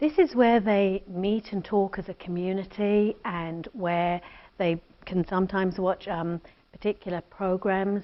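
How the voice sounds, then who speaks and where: A woman at a medium pitch and fairly slow pace, with fairly even intonation and big swings in loudness. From Britain. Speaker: addiction treatment center founder. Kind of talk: interview.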